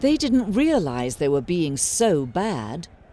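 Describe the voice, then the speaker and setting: Speaking at a very slow pace in a British accent, a woman with a fairly low pitch makes very wide pitch swings. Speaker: narrator. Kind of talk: fairy tale narration.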